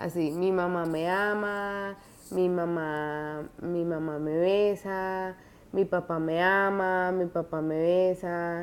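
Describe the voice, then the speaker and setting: Her intonation is monotone and flat. The woman's voice sits at a fairly low pitch. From Colombia. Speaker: student teacher. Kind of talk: video diary assignment. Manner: halting, many fillers and restarts.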